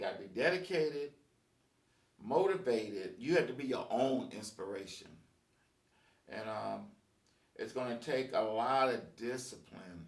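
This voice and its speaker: A man's medium-pitched voice with vocal fry and lively intonation, long, frequent pauses, big swings in loudness and audible room echo. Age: 60s. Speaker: musician and video blogger. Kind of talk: casual monologue. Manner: halting, many fillers.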